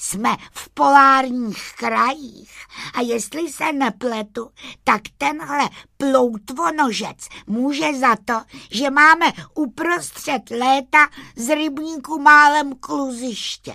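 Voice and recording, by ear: Putting on a character voice, a woman talks in a high pitch with a bright, sharp tone and vocal fry, using ordinary pitch variation and few pauses in a very clean recording with a silent background.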